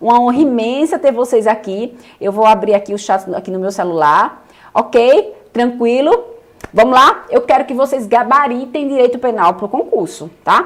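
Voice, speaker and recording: Animated in tone, a woman with a Paraíba accent speaks at a high pitch. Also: lively intonation, moderate pace. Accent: northeastern Brazilian (Paraíba). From Paraíba, Brazil (João Pessoa). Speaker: law teacher. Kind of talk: online lecture. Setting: live stream with chat.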